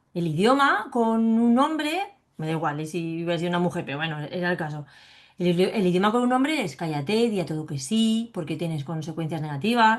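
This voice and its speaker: Animated and fairly quick, a woman talks in a fairly low pitch with lively intonation. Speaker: psychologist and biodecoding specialist sharing her fibromyalgia testimony. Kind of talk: interview.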